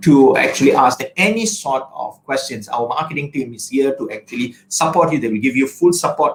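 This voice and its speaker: Lively intonation marks a man's fairly high-pitched delivery in a plain, everyday voice. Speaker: college representative. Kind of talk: webinar presentation.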